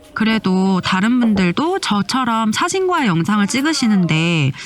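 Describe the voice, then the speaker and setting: Over noticeable background noise, a woman at a medium pitch speaks with very wide pitch swings. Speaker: travel vlogger. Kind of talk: vlog narration voiceover. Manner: friendly conversational.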